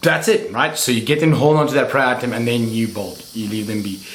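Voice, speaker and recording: Medium-pitched male speech, ordinary in pitch variation, with audible room echo. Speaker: reptile keeper YouTuber. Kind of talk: tutorial. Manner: casual.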